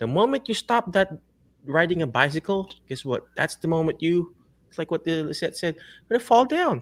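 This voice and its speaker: A man with a Filipino accent talks at a fairly quick pace with a high pitch and lively intonation. The sound is dry and close, with no echo. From Philippines. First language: Tagalog or other Philippine language. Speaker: physical therapist and career coach show host. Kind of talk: interview show, motivational talk. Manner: animated, preachy.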